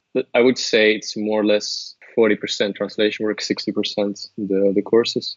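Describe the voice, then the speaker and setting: A man with a Flemish accent speaks at a fairly low pitch with monotone, flat intonation. His pace is moderate, with hardly any pauses. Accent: Flemish Dutch accent in English. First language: Dutch. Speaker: translator and language course creator. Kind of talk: interview. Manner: hesitant, with fillers and repetitions.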